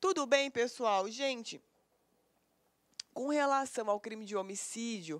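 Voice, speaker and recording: A woman speaks at a very slow pace in a fairly high pitch. Her intonation is lively, with long, frequent pauses. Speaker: law teacher for exam preparation. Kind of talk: lecture. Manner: conversational, didactic.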